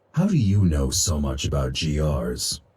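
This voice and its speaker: Putting on a character voice, a man growls at a very deep, low pitch. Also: moderate pace. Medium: video game. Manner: terse, clipped.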